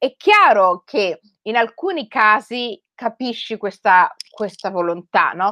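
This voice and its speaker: A bright, sharp tone with lively intonation at a very slow pace. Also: woman. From Rome, Italy (Somali heritage). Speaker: writer. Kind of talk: talk to school students. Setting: video call. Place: home room. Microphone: headset.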